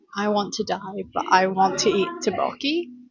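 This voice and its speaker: Over music in the background, a woman talks at a fairly slow pace in a fairly high pitch. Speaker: book vlogger. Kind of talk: casual vlog. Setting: cafe. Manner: animated.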